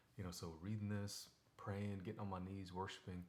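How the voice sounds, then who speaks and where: The delivery is fairly quick and comes from a man. His tone stays monotone and flat. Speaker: devotional video host. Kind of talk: casual Bible devotional talk. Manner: fast; conversational, many fillers.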